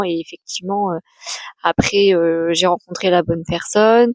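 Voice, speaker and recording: A woman's medium-pitched voice at a moderate pace, fairly even in intonation, with a dry, close sound and no echo. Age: 30s. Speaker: adoptee and author giving talks. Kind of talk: personal testimony vlog. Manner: hesitant, many fillers.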